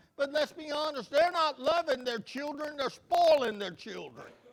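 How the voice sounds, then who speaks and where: Speaking with a Southern US accent, a man uses an extremely high pitch and lively intonation. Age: 60s. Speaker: pastor. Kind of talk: sermon. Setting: church.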